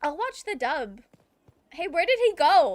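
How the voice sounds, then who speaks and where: Speaking at a moderate pace, a woman has an American accent. Her pitch swings very widely. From US South. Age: 30s. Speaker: video game streamer. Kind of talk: casual chat.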